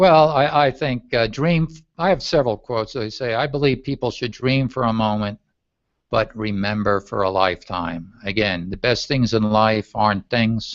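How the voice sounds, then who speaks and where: Against a quiet background, a man with a plain, everyday voice speaks at a medium pitch and a moderate pace. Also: ordinary pitch variation. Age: 60s. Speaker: travel and leisure speaker, coach. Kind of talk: interview.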